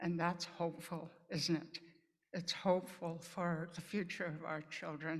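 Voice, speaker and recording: With audible room echo, a woman talks at a fairly slow pace in a fairly low pitch and a monotone, flat intonation. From Pine Ridge Reservation, South Dakota (Lakota). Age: 80s+. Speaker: nurse and nursing educator. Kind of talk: conference talk. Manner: halting, with repetitions.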